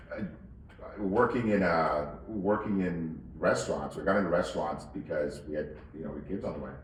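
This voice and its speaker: There is audible room echo and noticeable background noise. Through it, a man speaks at a fairly quick pace. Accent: Mid-Atlantic. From Northern Virginia. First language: Spanish. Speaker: wine shop owner. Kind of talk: interview. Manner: halting, many repetitions and fillers.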